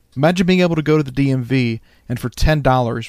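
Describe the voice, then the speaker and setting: In a very clean recording with a silent background, a man with a plain, everyday voice speaks at a medium pitch. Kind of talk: true-crime narration. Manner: measured, steady, serious storytelling delivery.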